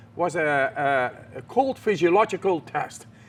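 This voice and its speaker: This man talks at a moderate pace with a Dutch accent and lively intonation. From Netherlands. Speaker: extreme athlete. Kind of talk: interview answer.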